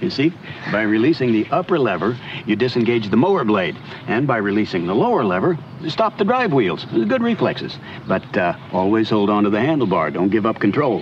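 A man talks at a fairly quick pace with lively intonation. The sound is dry with no echo, and there is light background noise. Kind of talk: scripted instructional dialogue. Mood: friendly, patient, lightly humorous. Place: garden.

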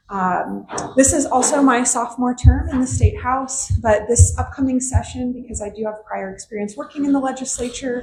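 A woman talks at a moderate pace with hardly any pauses and big swings in loudness. Audible room echo and noticeable background noise fill the recording. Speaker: state legislator. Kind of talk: town hall remarks. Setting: public meeting with audience, microphone. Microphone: hard to hear, too far from mic.

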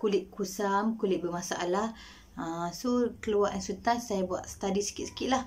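Vocal fry colors a woman's fairly even intonation, with light background noise behind her. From Malaysia, Kelantan; Malaysia. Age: 30s. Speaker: nurse giving a product testimonial. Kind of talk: product testimonial. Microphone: webcam.

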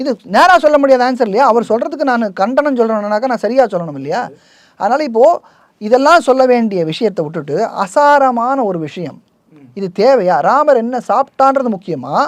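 Extremely high pitch from a man, with lively intonation. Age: 50s. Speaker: temple rights activist. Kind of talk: interview.

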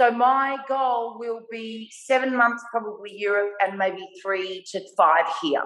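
In an Australian accent, the voice moves at a very slow pace with audible room echo and a quiet background. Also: woman, ordinary pitch variation, hardly any pauses. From Australia (Melbourne). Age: 50s. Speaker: artist; guest. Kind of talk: casual interview. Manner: animated. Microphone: video call.

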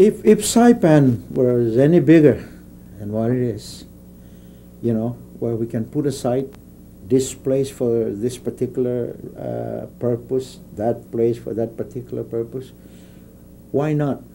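A man at a fairly slow pace with long, frequent pauses over light background noise. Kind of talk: interview answer. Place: office.

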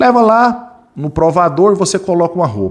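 A man speaks against a quiet background. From Brazil, Goiás. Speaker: security training instructor. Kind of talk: live online class. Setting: live stream studio. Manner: animated. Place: home room. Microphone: studio mic.

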